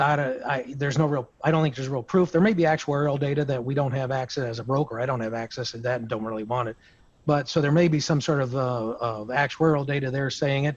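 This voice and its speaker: Fairly high male voice at a very fast pace, fairly even in intonation. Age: 60s. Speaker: insurance broker. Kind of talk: roundtable discussion. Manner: halting.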